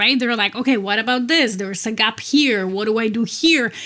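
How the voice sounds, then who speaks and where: A woman with a Polish accent at a moderate pace, her fairly high pitch showing ordinary variation, amid noticeable background noise. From Poland. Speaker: executive coach. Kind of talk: interview.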